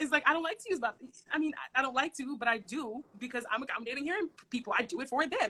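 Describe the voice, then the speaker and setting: Projecting a raised voice, a woman talks very fast with a high pitch, lively intonation and a bright, sharp tone. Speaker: social worker. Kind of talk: casual chat. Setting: livestream video. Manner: loud.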